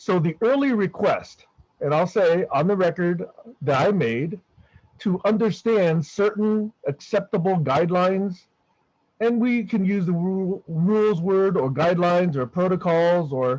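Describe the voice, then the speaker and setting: A man with a high voice speaks at a fairly slow pace, his volume staying very even throughout. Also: ordinary pitch variation. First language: not English. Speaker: online discussion group member. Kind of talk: group discussion. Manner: emphatic.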